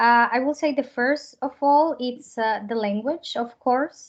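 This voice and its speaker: The speaker has a Spanish accent and a fairly slow pace. Pitch variation is ordinary. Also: woman. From Colombia. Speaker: au pair and actress. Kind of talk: interview.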